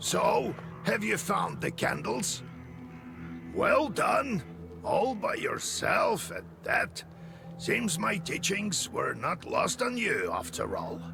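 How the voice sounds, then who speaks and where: A man's put-on character voice at a very slow pace, with clear background noise. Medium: video game. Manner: measured, instructive.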